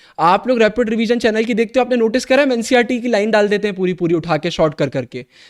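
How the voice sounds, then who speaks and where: A man speaks with a high pitch, an animated tone and lively intonation. The recording is very clean, with a silent background. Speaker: online teacher for students. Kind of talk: motivational talk to students in a live class.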